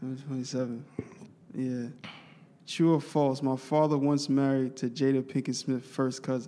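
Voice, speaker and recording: Speaking with a New York accent, a man uses monotone, flat intonation and long, frequent pauses. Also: medium pitch for a man, moderate pace. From Brooklyn, New York City. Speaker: podcast host. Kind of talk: casual chat. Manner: halting.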